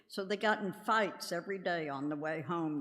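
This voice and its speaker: A woman with an American accent, fairly slow with very wide pitch swings, amid audible room echo. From US South, Jacksonville, Florida. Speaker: church member leading a service. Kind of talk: personal testimony in a church service. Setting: church.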